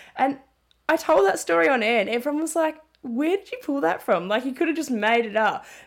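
A woman speaks with an Australian accent at a high pitch and a fairly quick pace. Her pitch swings very widely. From Australia, Melbourne. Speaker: sports journalist and commentator. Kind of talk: casual interview.

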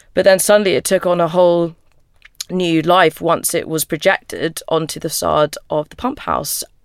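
Recorded very cleanly against a silent background, with a dry, close sound and no echo, a woman speaks in a normal speaking voice at a moderate pace, her fairly low pitch held in fairly even intonation. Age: 20s. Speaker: painter and art student. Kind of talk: casual interview.

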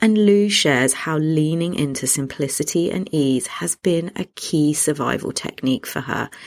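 This woman has a very deep, low pitch and a British accent. She speaks with hardly any pauses. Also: ordinary pitch variation, moderate pace. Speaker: podcast host and parenting coach. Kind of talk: scripted intro then casual interview.

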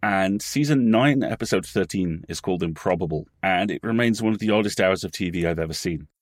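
A man with an English accent speaks fairly quickly with hardly any pauses, his pitch fairly low. The recording is very clean with a silent background. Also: ordinary pitch variation. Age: 40s. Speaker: podcast company co-owner and writer. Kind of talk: casual chat.

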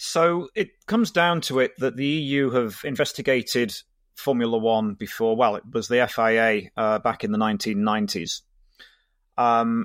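Here a man at medium pitch has an ordinary speaking voice with ordinary pitch variation. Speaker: digital law expert. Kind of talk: casual chat.

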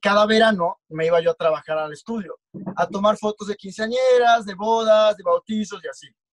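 Here a man speaks at a high pitch with ordinary pitch variation and big swings in loudness. The sound is dry and close, with no echo. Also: moderate pace. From Mexico, Tabasco (Comalcalco). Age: 20s. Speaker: photographer and model. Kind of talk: casual interview chat.

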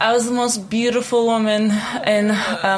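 Noticeable background noise behind a woman speaking at a moderate speed. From Czech Republic. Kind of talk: casual chat.

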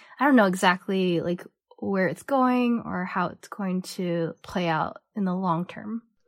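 In a dry, close sound with no echo, a woman with a Cantonese accent speaks at a fairly slow pace in a medium pitch, her loudness swinging widely. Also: ordinary pitch variation. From San Francisco Bay Area, US. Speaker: artist. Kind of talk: casual interview chat. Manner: hesitant, fillers like um and like.

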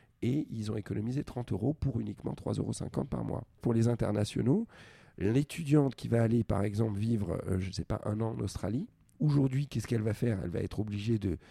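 A man's dark, mellow voice, medium-pitched with ordinary pitch variation, fairly quick, dry and close with no echo. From France, immigrant family (Algerian father, Greek mother). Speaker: startup founder, former roller skating champion. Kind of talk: interview. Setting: at his home.

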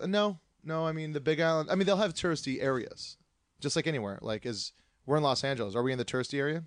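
A very fast, fairly high-pitched man's voice with lively intonation, over a quiet background. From Hawaii, Oahu (Kailua). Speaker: comedian. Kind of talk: casual chat.

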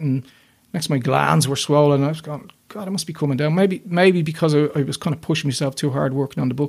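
A man's fairly high voice with a Dublin accent, at a very fast pace and with fairly even intonation. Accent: Dublin Irish. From Ireland, north Dublin. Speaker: illustrator and children's author. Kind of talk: interview testimony.

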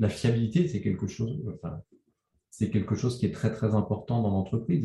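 A man speaks at a medium pitch with a dark, mellow tone and a somewhat breathy quality. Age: 50s. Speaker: communication agency founder. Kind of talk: interview conversation. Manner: halting.

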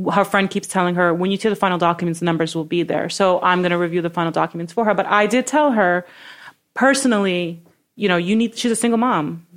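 A woman with a New York accent talks at a very fast pace and medium pitch, with ordinary pitch variation and very even loudness. The recording is very clean, with a silent background. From Brooklyn, New York. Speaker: real estate broker. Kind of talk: interview.

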